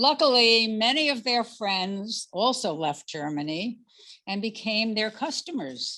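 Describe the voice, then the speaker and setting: A woman speaks at a fairly slow pace in a fairly high pitch, her tone bright and sharp. Her intonation is lively, and the recording is very clean with a silent background. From Netherlands. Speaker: Holocaust survivor and artist. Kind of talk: commemorative talk with slides. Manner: partly read from script, with asides.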